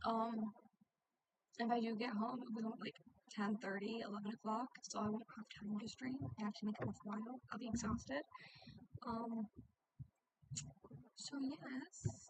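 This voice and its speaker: Soft-spoken and somewhat breathy, a woman talks with an American accent at a fairly high pitch. Her pitch varies in an ordinary way, and she takes long, frequent pauses. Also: moderate pace. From US South. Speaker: gaming streamer. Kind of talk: live stream gameplay chat. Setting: home at night.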